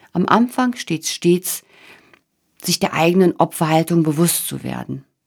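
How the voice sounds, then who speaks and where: Vocal fry runs through this woman's voice. She speaks at a fairly slow pace with a fairly low pitch. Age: 40s. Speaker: podcast host, change coach. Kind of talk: monologue podcast, motivational talk.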